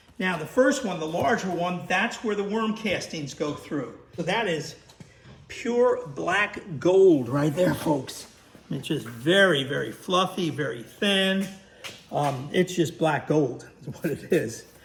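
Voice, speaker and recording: Speaking very slowly at a high pitch, a man uses lively intonation amid audible room echo and noticeable background noise. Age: 70s. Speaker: worm farmer and video host. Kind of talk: casual tutorial / product review. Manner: halting, many fillers.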